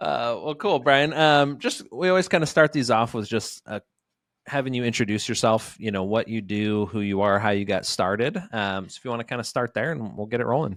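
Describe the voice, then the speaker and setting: On a very clean recording with a silent background, a normal speaking voice moves at a fairly quick pace with lively intonation. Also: man, medium pitch for a man. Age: 30s. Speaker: podcast host. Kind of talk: podcast interview. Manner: casual, upbeat.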